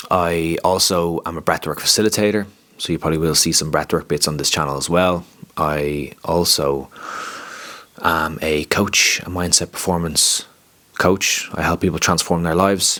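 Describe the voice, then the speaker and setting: Spoken with an Irish accent at a moderate pace, the voice keeps a fairly even intonation and long, frequent pauses amid noticeable background noise. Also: man. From Ireland, County Wicklow. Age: 30s. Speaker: life coach and content creator. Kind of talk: casual vlog monologue.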